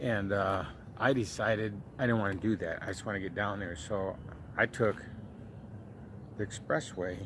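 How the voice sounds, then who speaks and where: Here is a man with an American accent and a fairly low pitch. He moves at a moderate pace with ordinary pitch variation and long, frequent pauses. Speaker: vlogger. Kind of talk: casual storytelling. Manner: halting.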